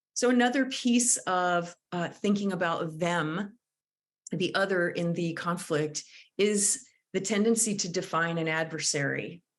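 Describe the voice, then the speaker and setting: A woman speaks fairly slowly in a normal speaking voice with ordinary pitch variation. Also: fairly low pitch for a woman. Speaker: conflict mediator and trainer. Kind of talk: lecture.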